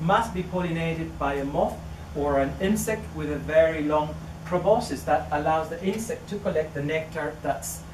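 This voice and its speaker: With a Chilean accent, a man talks at a moderate pace and fairly high pitch with ordinary pitch variation, over noticeable background noise and audible room echo. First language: Spanish. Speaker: orchid researcher. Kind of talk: public talk. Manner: halting.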